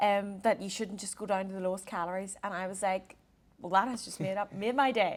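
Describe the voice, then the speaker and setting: A woman with a Northern Irish accent talks at a fairly quick pace and medium pitch, her loudness swinging widely. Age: 20s. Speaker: performance dietitian and podcast co-host. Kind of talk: casual chat. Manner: animated.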